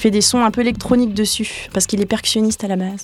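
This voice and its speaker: There is noticeable background noise behind a woman whose fairly high voice keeps fairly even intonation. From France, Brittany area. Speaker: singer-songwriter and violinist. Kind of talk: radio interview. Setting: radio studio. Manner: casual, hesitant.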